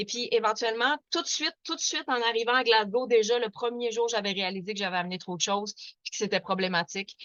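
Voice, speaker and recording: A woman speaks at a fairly quick pace. She has a Quebec accent. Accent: Québécois French. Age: 40s. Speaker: activist. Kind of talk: webinar presentation. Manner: fast; hesitant, many fillers.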